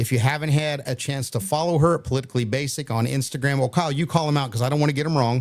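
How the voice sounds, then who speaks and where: A man rattles off words at a very fast pace with hardly any pauses. His voice is fairly high, with fairly even intonation. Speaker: podcast host. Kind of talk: live show casual chat.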